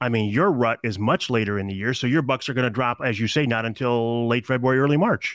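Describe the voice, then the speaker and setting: On a very clean recording with a silent background, a man with an American accent talks at a very fast pace with ordinary pitch variation, his sound dry and close with no echo. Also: medium pitch for a man, hardly any pauses, very even loudness. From Michigan. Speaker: podcast host and broadcaster. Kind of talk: interview.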